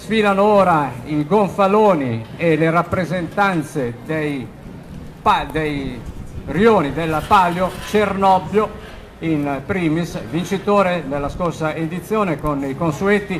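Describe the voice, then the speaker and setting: A man's high voice with ordinary pitch variation and light background noise. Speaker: event commentator. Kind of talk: live parade commentary. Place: street.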